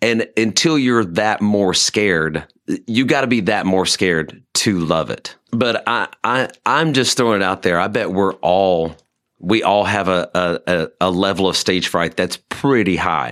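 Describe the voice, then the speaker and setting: An unremarkable speaking voice, this man talks at a fairly slow pace in a fairly low pitch, with very even loudness and ordinary pitch variation. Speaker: musician. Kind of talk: casual interview chat. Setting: studio.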